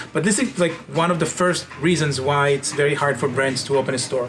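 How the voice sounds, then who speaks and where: With music in the background, a man with an Israeli accent speaks with lively intonation. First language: Hebrew. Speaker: company founder and CEO. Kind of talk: interview monologue.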